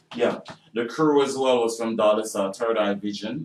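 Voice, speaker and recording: A man's fairly low voice at a moderate pace, fairly even in intonation, over noticeable background noise. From Jamaica. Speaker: actor and filmmaker. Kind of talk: radio interview. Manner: hesitant, many fillers.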